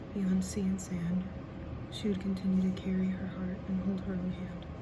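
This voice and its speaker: Soft-spoken delivery over noticeable background noise. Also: moderate pace. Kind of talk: poetry reading.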